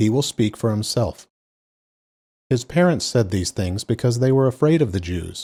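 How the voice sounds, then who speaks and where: A man with a dark, mellow tone speaks in a calm tone with lively intonation, sounding somewhat breathy. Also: very clean recording, silent background. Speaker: scripture reader. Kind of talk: reading aloud.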